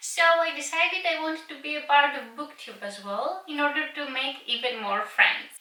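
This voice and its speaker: In a Greek accent, a woman with a high pitch uses a raised, projected voice, lively intonation and big swings in loudness at a moderate pace, amid noticeable background noise and audible room echo. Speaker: book vlogger. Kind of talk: casual vlog talk to camera. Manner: some hesitations and filler words.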